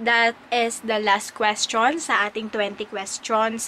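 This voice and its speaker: A woman speaks very slowly in a fairly high voice, her intonation fairly even. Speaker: vlogger and teacher. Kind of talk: casual vlog Q&A. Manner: hesitant, many fillers.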